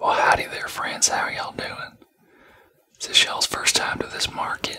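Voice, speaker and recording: Someone whispers in an American accent. The pace is moderate. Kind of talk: ASMR roleplay. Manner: whispered.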